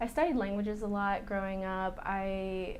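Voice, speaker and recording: Audible room echo accompanies speech in an American accent at a fairly slow pace. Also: woman. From US South, North Carolina. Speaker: egg donor candidate, pharmaceutical professional. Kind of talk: interview.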